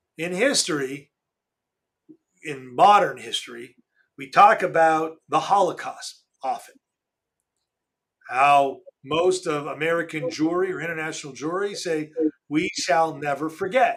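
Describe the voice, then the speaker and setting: Speaking at a fairly slow pace, a man leaves long, frequent pauses, shows big swings in loudness and has ordinary pitch variation. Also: fairly high pitch for a man. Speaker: podcast host. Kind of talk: casual chat. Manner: subdued.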